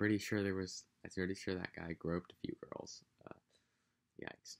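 With an American accent, a man speaks at a moderate pace in a very deep, low voice. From United States. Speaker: vlogger. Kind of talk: casual vlog monologue. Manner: casual, rambling, profane. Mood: amused, joking. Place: home room. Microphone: webcam.

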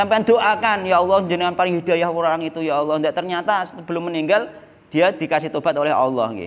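Here a man talks at a very fast pace. His pitch sits high. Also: ordinary pitch variation. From Java, Indonesia. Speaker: Islamic preacher. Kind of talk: religious study lecture. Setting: mosque. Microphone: studio mic.

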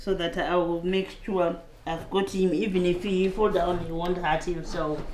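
Over light background noise and audible room echo, a woman speaks at a moderate pace with monotone, flat intonation. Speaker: refugee; mother. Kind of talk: casual talk to camera. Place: home room. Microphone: lapel.

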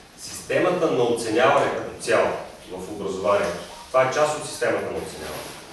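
Strong room echo and light background noise accompany a man talking at a very fast pace. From Bulgaria. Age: 50s. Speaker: school teacher. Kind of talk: classroom lesson. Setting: school classroom. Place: classroom. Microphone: camera far.

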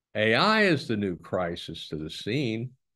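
A man is speaking. The background is quiet. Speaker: webinar host presenter. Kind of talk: presentation talk. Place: home room. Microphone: video call.

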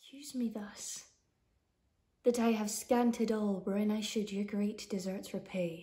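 Over a quiet background, a somewhat breathy voice with a dark, mellow tone moves at a fairly slow pace with fairly even intonation. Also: woman, fairly high pitch for a woman. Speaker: actor. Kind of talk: poetry reading. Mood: earnest, pleading. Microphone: phone near.

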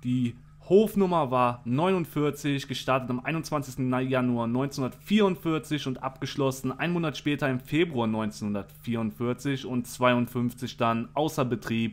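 A man talks at a very slow pace with hardly any pauses. His pitch is medium, with ordinary pitch variation. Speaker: YouTuber. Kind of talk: reading aloud; casual monologue. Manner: stuttering at times.

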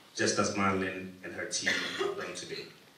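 A man with a very deep, low pitch talks at a fairly quick pace, with audible room echo and light background noise. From Ghana. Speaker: event founder. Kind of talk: formal speech. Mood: warm, lightly humorous. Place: hall. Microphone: podium.

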